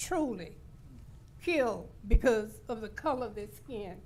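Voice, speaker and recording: A fairly slow delivery with audible room echo. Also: woman. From Louisiana (New Orleans, then Shreveport). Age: 80s+. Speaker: public commenter, minister. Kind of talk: public comment at government meeting.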